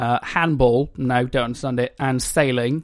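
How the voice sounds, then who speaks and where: A man with an English accent. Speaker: podcast co-host. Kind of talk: casual chat.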